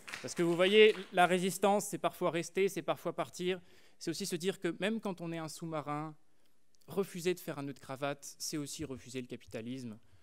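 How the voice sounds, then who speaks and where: This man has a high pitch and speaks at a fairly quick pace. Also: ordinary pitch variation. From France, rural Burgundy. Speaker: student orator; speaker. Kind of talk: eloquence contest speech. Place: stage. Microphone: podium.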